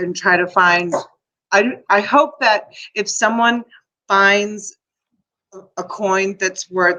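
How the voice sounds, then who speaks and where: A woman speaks at a very slow pace in a medium pitch, her tone bright and sharp, with ordinary pitch variation. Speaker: live-stream seller hosting a storage-unit auction. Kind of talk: live auction stream, chatty talk to camera.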